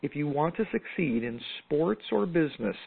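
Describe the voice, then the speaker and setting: Speaking at a fairly slow pace with lively intonation, a woman with an American accent has a very deep, low pitch. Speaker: podcast host and business mentor. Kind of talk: interview. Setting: phone call. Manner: animated.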